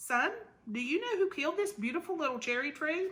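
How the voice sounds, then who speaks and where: A woman puts on a squeaky character voice at an extremely high pitch. She talks at a fairly quick pace with very wide pitch swings. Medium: read story.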